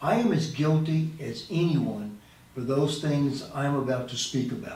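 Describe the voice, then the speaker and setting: This man's fairly high pitch carries ordinary pitch variation at a moderate pace, with noticeable background noise behind him. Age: 70s. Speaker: animal advocacy video host. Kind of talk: casual talk to camera. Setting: studio with boom mic.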